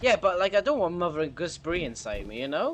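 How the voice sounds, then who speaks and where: With a Welsh accent, a man talks at a very fast pace in a high pitch, his pitch swinging very widely. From Wales. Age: 20s. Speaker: gaming streamer. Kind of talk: live gameplay stream chat. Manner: animated.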